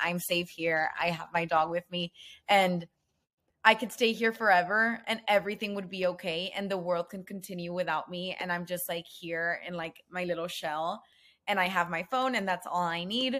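A bright, sharp tone with an American accent. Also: woman, very clean recording, silent background. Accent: Mexican American English. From Mexico-US border, Nuevo Laredo, Tamaulipas. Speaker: bilingual content creator. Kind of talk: casual interview chat.

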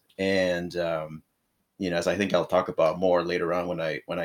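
A man speaks with a Spanish accent in a very deep, low voice. The recording is very clean, with a silent background. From northern Mexico, Rosarito (Baja California). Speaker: political candidate and non-profit advisor. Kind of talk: casual interview.

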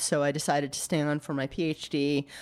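A woman with an American accent, very deep and low in pitch, flat and monotone at a moderate pace, on a very clean recording with a silent background. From Maine, US. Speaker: archaeology professor. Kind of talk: interview. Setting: in person.

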